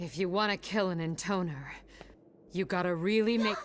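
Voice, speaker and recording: A female-sounding, put-on character voice sits at a medium pitch. The pace is moderate. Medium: solo performance. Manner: scolding.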